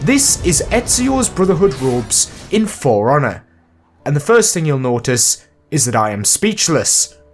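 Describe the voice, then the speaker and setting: Music plays in the background as a man speaks at a fairly slow pace with very wide pitch swings. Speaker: video game commentator. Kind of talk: YouTube video essay narration.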